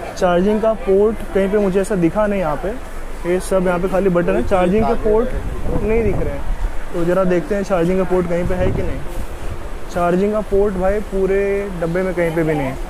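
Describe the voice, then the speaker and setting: The speaker keeps a moderate pace and fairly even intonation against noticeable background noise. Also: man, high pitch for a man. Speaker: travel vlogger. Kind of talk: casual vlog chat. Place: train. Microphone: phone near.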